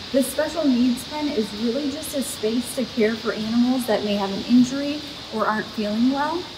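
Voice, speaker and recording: A woman speaks at a moderate pace with a high pitch. Noticeable background noise runs underneath. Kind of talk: casual guided tour explanation. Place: farm machine. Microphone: camera far.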